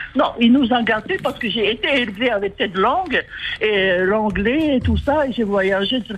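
Speaking with a Polynesian accent, a woman uses lively intonation at a fairly high pitch and a fairly slow pace, with noticeable background noise. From Tuamotu, French Polynesia. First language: Tahitian (speaking French). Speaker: caller. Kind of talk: call-in.

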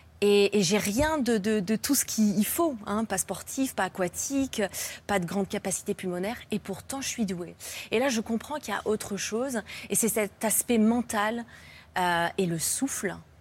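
A somewhat breathy, medium-pitched woman's voice on a very clean recording with a silent background. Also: ordinary pitch variation, fairly slow pace. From France. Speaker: freediver, athlete. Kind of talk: talk show interview. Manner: halting.

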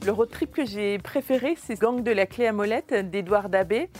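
A woman at medium pitch with ordinary pitch variation, a moderate pace, and music in the background. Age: young. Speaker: bookseller. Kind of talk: taped portrait interview.

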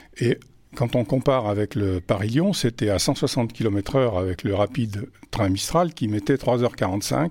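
On a very clean recording with a silent background, a man speaks at a very slow pace in a somewhat breathy, medium-pitched voice with ordinary pitch variation. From France, Auvergne (Vichy). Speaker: retired railway traction chief. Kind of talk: interview testimony. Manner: halting, repeats words.

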